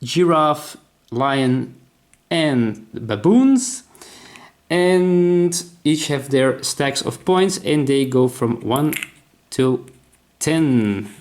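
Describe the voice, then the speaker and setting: Speaking in a Dutch accent at a very slow pace, a man uses a fairly high pitch with ordinary pitch variation and long, frequent pauses. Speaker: board game designer. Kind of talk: tutorial. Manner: halting.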